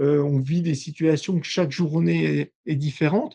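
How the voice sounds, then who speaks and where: A man is speaking here. His pitch is fairly high. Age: 60s. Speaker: industrial company owner. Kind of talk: podcast interview. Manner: halting, many hesitations.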